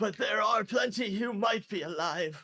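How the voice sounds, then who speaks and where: Putting on a character voice, a man speaks at a moderate pace with a high pitch. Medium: actual play.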